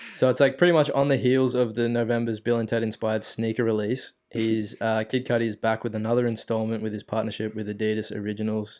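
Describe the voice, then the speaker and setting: With an Australian accent, a man talks very fast at a medium pitch. His intonation is monotone and flat. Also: hardly any pauses. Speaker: podcast host. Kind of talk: casual chat.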